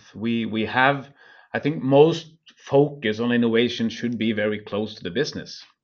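A man with a Norwegian accent speaks at medium pitch with ordinary pitch variation. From Norway. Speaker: energy company CEO. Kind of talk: interview. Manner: halting.

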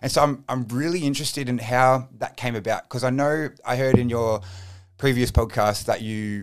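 This man talks with an Australian accent at a moderate pace. His pitch is medium, with ordinary variation. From Australia, Frankston, Melbourne southeast. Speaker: podcast host. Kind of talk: scripted intro; casual interview chat.

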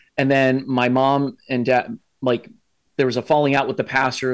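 Very fast and medium-pitched, a man with an American accent speaks on a very clean recording over a silent background. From US Midwest (Columbus, Ohio). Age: 40s. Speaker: army chaplain and veteran. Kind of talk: casual interview conversation.

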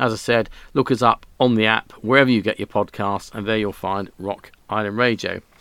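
In a British accent, a man with a fairly low pitch and a bright, sharp tone talks at a moderate pace with monotone, flat intonation, the sound dry and close with no echo. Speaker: radio host. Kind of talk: radio DJ patter. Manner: relaxed, chatty.

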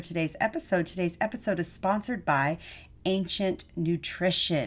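A woman with a normal speaking voice and an American accent, medium in pitch with ordinary variation, at a moderate pace against a quiet background. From Texas. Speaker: podcast host and nutrition coach. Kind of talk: interview.

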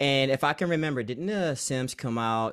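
An unremarkable speaking voice from a man, fairly high in pitch with ordinary pitch variation, in a very clean recording with a silent background. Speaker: Sims content creator. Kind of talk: casual interview chat.

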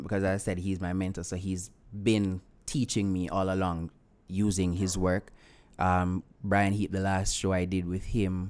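At a fairly slow pace, a man with a very deep, low pitch speaks with monotone, flat intonation. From Jamaica, rural Clarendon. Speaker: actor and writer. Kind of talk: interview.

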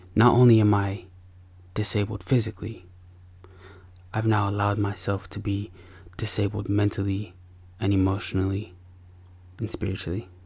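Monotone, flat intonation from a man with a fairly low pitch, somewhat breathy, at a moderate pace with long, frequent pauses. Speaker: podcast host and father. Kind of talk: podcast monologue mixing confessional storytelling with a sermon-like pep talk. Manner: earnest and warm, with a preacher-like, punchy delivery.

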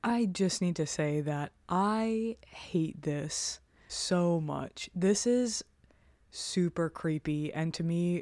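Medium-pitched woman with a dark, mellow tone and ordinary pitch variation, on a very clean recording with a silent background. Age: 30s. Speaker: true crime podcast co-host. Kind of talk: scripted narration with casual chat.

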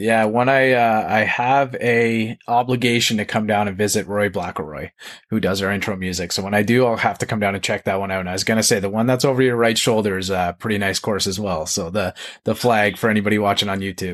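A man's fast-paced speech, very quick, fairly low in pitch with fairly even intonation. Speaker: podcast host. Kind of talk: casual interview chat.

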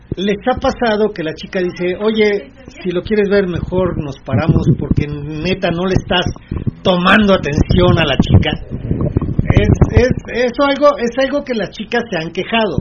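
A man's high voice with lively intonation over noticeable background noise. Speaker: radio host. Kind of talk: casual chat.

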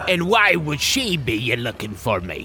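Against clear background noise, a man at medium pitch does a put-on character voice at a fairly slow pace with very wide pitch swings.

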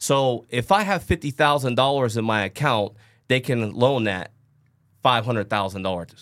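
At a moderate pace, a man with a normal speaking voice and a medium pitch talks with lively intonation. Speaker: podcast host. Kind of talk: casual podcast discussion.

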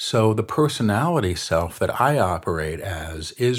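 In a very clean recording with a silent background, a man with an American accent speaks at a fairly slow pace, his fairly low voice somewhat breathy. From New York City. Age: 50s. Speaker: spiritual medium. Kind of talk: interview. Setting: studio at a retreat center.

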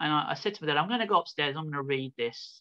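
A man with a Birmingham accent talks at a very fast pace. His fairly high voice has lively intonation. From England, Birmingham (Midlands). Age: 40s. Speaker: founder of a small church, self-described prophet. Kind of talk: interview testimony.

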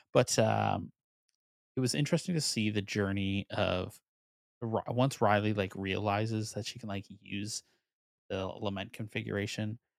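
With an unremarkable speaking voice, a man talks at a moderate pace and fairly low pitch, on a very clean recording with a silent background and a dry, close sound with no echo. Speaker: podcast co-host, guest. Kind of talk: casual chat, movie review podcast.

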